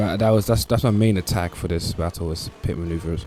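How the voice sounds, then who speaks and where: Someone talks at a very fast pace in a British accent with fairly even intonation. Noticeable background noise runs underneath. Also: man. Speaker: gaming video commentator. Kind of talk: gameplay commentary.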